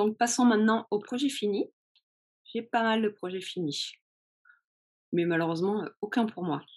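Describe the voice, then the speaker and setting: A woman with a fairly high pitch and ordinary pitch variation speaks at a fairly slow pace, leaving long, frequent pauses. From France. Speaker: knitting podcaster. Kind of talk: casual chat. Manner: hesitant, many fillers.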